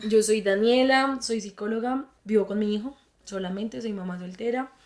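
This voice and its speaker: This woman has a Bogotá accent. Her pitch is fairly high. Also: ordinary pitch variation, moderate pace. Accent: Bogotá Colombian Spanish. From Colombia, Bogotá. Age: 20s. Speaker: psychologist. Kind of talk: interview testimony.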